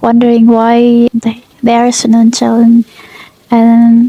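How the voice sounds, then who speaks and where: A woman with a non-native accent speaks in a fairly high pitch and a monotone, flat intonation, her voice heard with a dry, close sound and no echo. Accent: non-fluent English speaker. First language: Indonesian. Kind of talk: casual book review to camera.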